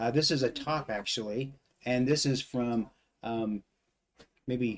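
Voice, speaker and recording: A normal speaking voice from a man, fairly slow, medium in pitch, with fairly even intonation. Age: 50s. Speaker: livestream guest. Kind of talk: casual livestream chat.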